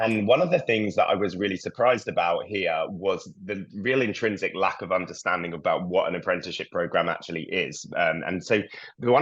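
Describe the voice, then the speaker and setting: A man rattles off words at a very fast pace, with a quiet background. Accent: British. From UK. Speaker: early career program lead. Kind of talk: webinar panel talk. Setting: video call.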